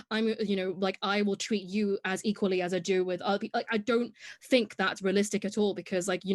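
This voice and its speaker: A woman with an English accent at medium pitch, very fast and monotone with flat intonation, in a dry, close sound with no echo over a quiet background. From Hong Kong. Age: 20s. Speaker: podcast guest, content creator. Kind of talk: casual interview chat.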